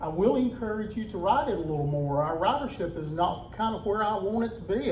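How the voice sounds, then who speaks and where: A loud man at a fairly quick pace with lively intonation, audible room echo and noticeable background noise. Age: 50s. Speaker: public safety director. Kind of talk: community meeting talk. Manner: casual, folksy.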